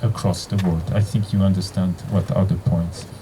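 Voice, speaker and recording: Against noticeable background noise, a man talks with a Geneva accent. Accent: Geneva French-Swiss. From Switzerland, Geneva. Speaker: physicist and university leader. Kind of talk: opening speech. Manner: halting, with fillers and restarts.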